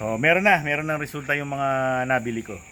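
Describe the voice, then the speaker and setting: A man's fairly high, bright, sharp voice with lively intonation at a fairly quick pace. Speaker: backyard poultry vlogger. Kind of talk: casual vlog tutorial. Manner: animated.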